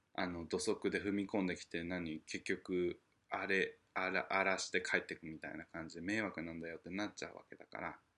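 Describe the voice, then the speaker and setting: The surroundings stay quiet. A man delivers his words at a moderate pace. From Japan. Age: 30s. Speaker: podcast host. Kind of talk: casual solo monologue. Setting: at home. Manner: animated.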